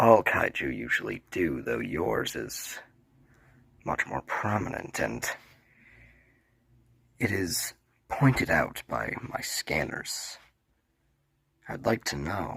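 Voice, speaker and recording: Using a put-on character voice, a man speaks at a very slow pace with a very deep, low pitch and long, frequent pauses. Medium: audio drama. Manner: smug, gloating.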